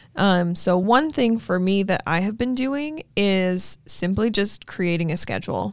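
An ordinary speaking voice, a woman at a medium pitch talks at a fairly slow pace with lively intonation and hardly any pauses. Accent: American. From Utah. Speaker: realtor and podcast host. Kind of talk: casual chat. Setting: studio.

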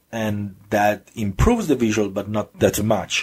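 With an Italian accent, a man talks at a fairly slow pace and a fairly low pitch. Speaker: gaming podcast host. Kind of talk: solo podcast monologue. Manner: hesitant, many fillers and restarts.

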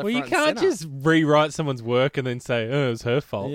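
Speaking at a fairly quick pace, a man with an Australian accent has a fairly high pitch and ordinary pitch variation. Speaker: podcast co-host.

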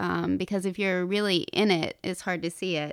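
This woman has an ordinary speaking voice, medium in pitch, with fairly even intonation at a moderate pace, in a very clean recording with a silent background. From US South, North Carolina (Appalachia). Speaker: novelist. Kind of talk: interview.

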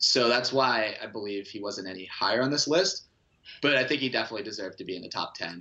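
Lively intonation marks a man's medium-pitched voice. He talks at a very fast pace. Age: 20s. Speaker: sports blog contributor. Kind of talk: casual chat.

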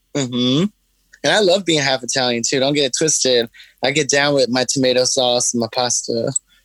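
A man with an American accent and an ordinary speaking voice, medium pitch, ordinary pitch variation, very even loudness, moderate pace, and a dry, close sound with no echo. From Brooklyn, New York. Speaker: hot sauce maker and drag performer. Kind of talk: interview.

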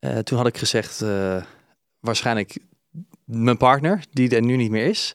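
Medium-pitched male speech at a moderate pace with fairly even intonation, on a very clean recording with a silent background and a dry, close sound with no echo. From Brabant, Netherlands. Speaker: musical performer and presenter, reality show participant. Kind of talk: casual interview chat. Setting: studio. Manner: trained, clear speaker.

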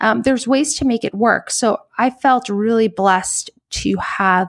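A woman's fairly high, lively voice at a fairly slow pace, in an American accent, a plain, everyday voice. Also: dry, close sound with no echo. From New York. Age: 30s. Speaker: cardiologist. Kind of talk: interview.

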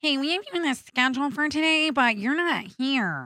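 In a put-on character voice, a female-sounding voice speaks at a high pitch and a moderate pace.

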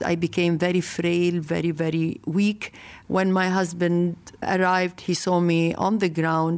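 In a Lebanese accent, a woman speaks fairly slowly at a fairly low pitch, her intonation monotone and flat and her loudness very even. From Lebanon. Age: 50s. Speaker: marathon founder. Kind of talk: interview. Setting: remote interview from Beirut.

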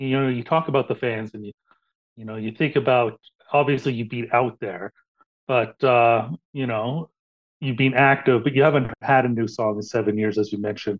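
A man's normal speaking voice, medium in pitch, at a moderate pace, with fairly even intonation and big swings in loudness. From Canada. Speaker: podcast host. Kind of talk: casual interview.

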